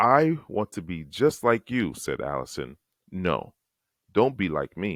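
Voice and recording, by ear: The surroundings are quiet. A person reads aloud in a natural voice.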